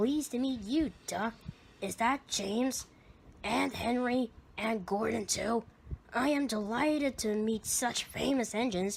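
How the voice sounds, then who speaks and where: Using a put-on character voice, a woman speaks at a moderate pace in a raspy, fairly high tone over light background noise. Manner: purring, falsely flattering.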